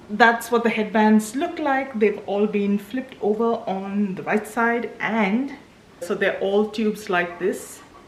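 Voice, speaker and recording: Over noticeable background noise, a woman with a fairly high pitch and ordinary pitch variation speaks at a fairly slow pace. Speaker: small business owner, vlogger. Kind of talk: casual vlog talk. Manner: whispering.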